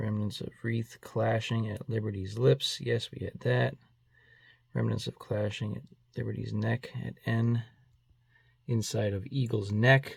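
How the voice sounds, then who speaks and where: With a Boston accent, a man speaks at a fairly slow pace with long, frequent pauses in a very clean recording over a silent background. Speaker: coin collector YouTuber. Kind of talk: casual video commentary, mail call. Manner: scattered, informal.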